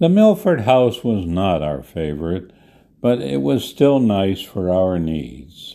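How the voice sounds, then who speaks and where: Speaking very slowly in an American accent, this man has a very deep, low pitch, a dark, mellow, relaxed tone, and very wide pitch swings. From Detroit, Michigan. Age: 90s. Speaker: podcast host, retiree. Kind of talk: reminiscing solo monologue, scripted-style podcast. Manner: reflective, relaxed.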